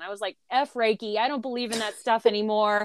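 A woman with a plain, everyday voice, fairly high in pitch, at a fairly quick pace. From Southern Illinois, rural. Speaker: trauma survivor, mother. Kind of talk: interview, personal testimony. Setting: online call.

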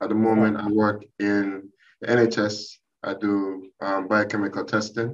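Speech comes at a fairly slow pace. Its intonation stays flat and monotone. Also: man, fairly low pitch for a man. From Jamaica. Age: 40s. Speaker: lab scientist and aspiring trader. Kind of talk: casual interview.

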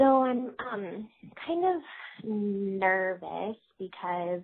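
A woman speaks with an American accent. Her pitch sits at a medium level, with ordinary pitch variation. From Sacramento, California. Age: 20s. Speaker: caller, aspiring comedian. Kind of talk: voicemail message. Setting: phone call. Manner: halting.

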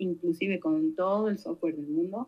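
This woman has an unremarkable speaking voice with lively intonation. She talks at a moderate pace. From Argentina, Santa Fe province. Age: 50s. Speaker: researcher and academic. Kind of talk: interview.

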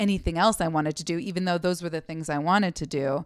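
Here is a woman with an American accent, fairly low in pitch, with fairly even intonation and an unremarkable speaking voice. The recording is very clean and the background silent. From US Pacific Northwest, Seattle. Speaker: comedian. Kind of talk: casual chat.

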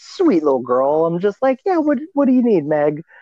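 At a moderate pace, a man with an American accent speaks in a dark, mellow tone with lively intonation, the sound dry and close with no echo. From Louisiana. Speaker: puppet creator and TikTok content creator. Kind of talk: casual chat.

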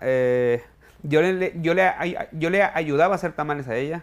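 There is ordinary pitch variation in this man's unremarkable speaking voice. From Mexico, Sinaloa (Culiacán area). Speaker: chef and restaurant owner. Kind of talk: interview. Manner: repeats words when speaking.

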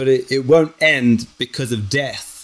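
Medium in pitch, this man has a plain, everyday voice with ordinary pitch variation. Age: 40s. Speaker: artist and filmmaker. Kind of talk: casual chat.

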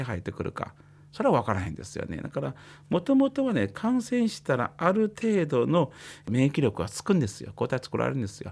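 A man with vocal fry speaks fairly quickly, his pitch swinging very widely. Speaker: psychiatrist. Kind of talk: explanatory talk on radio. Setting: radio studio. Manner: casual, uses many fillers.

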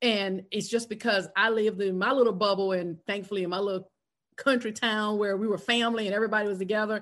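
A woman with an American accent talks very fast in a monotone, flat intonation against a quiet background. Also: medium pitch for a woman. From South Carolina. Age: 50s. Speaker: podcast host and speaker coach. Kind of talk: casual chat.

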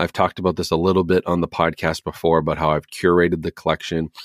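The intonation is monotone and flat. The sound is dry and close with no echo, in a very clean recording with a silent background. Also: man. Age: 30s. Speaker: podcast host on movie collecting and home theater. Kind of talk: solo casual Q&A monologue. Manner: unscripted, off the cuff with many fillers.

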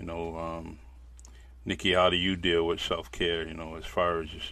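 The speaker has vocal fry and a fairly even intonation. The pace is moderate. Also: man. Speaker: podcast host. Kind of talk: casual interview chat. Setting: video call.

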